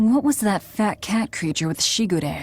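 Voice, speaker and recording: A woman's put-on character voice, growling at a medium pitch with very wide pitch swings, at a moderate pace. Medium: video game. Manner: curt, cold.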